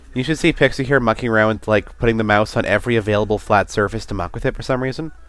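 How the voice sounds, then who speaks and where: Over music in the background, a man speaks at a very fast pace with a medium pitch and ordinary pitch variation. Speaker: game streamer. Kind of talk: casual chat. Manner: halting.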